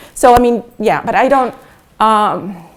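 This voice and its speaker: A woman with fairly even intonation. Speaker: philosophy of science professor. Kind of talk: academic conference talk. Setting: Buenos Aires, Argentina. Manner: fast; halting, many fillers.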